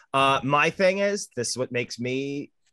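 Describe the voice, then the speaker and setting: A man's bright, sharp tone at medium pitch, with lively intonation, a quiet background and a dry, close sound with no echo. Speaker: filmmaker. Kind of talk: casual chat.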